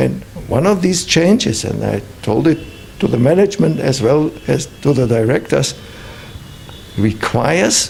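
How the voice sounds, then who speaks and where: Over noticeable background noise, a man with a German accent speaks at a fairly high pitch with very wide pitch swings. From Germany. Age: 70s. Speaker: visiting professor and consultant. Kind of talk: interview. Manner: halting.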